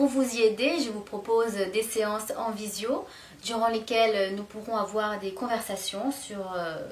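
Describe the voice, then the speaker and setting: Over noticeable background noise and audible room echo, a woman talks at a fairly slow pace in a fairly high voice with ordinary pitch variation. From southern France, Aude. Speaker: French teacher. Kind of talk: promotional video, self-presentation. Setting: video. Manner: hesitant, many fillers.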